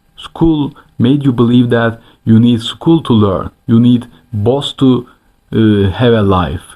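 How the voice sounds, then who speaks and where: A man with a non-native accent speaks at a very slow pace with ordinary pitch variation. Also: very even loudness. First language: not English. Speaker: self-improvement YouTuber. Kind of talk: motivational vlog monologue. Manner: animated, emphatic; halting with self-corrections.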